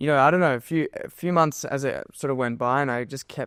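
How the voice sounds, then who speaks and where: Recorded very cleanly against a silent background, a man talks fairly quickly with an Australian accent. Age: 20s. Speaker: physiotherapy student and endurance runner. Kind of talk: podcast interview. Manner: halting, many fillers.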